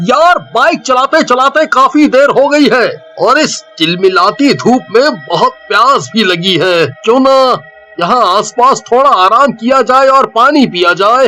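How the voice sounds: Faint music plays behind a cartoonish character voice with a fairly high pitch that speaks with hardly any pauses. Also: fairly slow pace.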